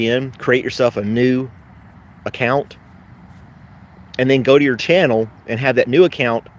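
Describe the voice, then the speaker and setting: Here a man speaks with a slight Southern US accent. His pitch variation is ordinary. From US South, western Tennessee. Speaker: YouTuber and postal worker. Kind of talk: casual live stream chat. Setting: live stream. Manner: fast, sometimes slips on words.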